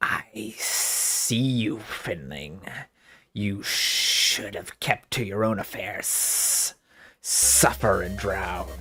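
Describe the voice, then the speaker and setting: A man does a put-on character voice, fairly low, growling and hissing. He speaks very slowly with lively intonation. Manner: hissing, menacing.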